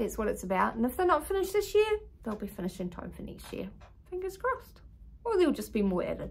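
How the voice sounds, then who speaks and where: A woman with a New Zealand accent speaks at a fairly quick pace. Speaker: craft vlogger. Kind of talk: casual show-and-tell video.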